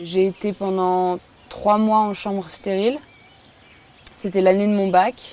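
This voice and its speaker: At a very slow pace, a woman speaks at medium pitch in a monotone, flat intonation, with long, frequent pauses. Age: 20s. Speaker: patient. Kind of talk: testimony. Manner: hesitant, many fillers.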